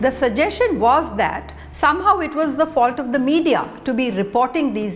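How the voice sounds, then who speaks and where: Her high voice swings very widely in pitch at a moderate pace. Noticeable background noise and audible room echo surround this woman. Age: 60s. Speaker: vlogger. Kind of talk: personal essay monologue.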